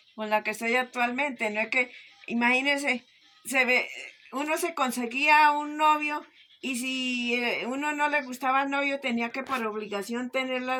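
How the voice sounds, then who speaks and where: In a raised, projected voice, a woman speaks at a moderate pace with a high pitch, a bright, sharp tone and fairly even intonation. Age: 60s. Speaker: interviewee. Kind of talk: interview answers.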